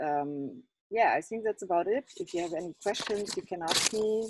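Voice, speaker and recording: A woman's dark, mellow voice at a fairly slow pace, dry and close with no echo. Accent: non-native. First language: not English. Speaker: exhibiting artist. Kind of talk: Q&A at online exhibition opening. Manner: halting.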